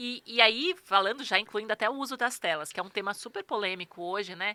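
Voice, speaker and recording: Bright and sharp in tone, the fairly quick speech has a dry, close sound with no echo in a very clean recording with a silent background. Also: woman, fairly high pitch for a woman, ordinary pitch variation. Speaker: personal organizer. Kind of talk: interview. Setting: studio. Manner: fast.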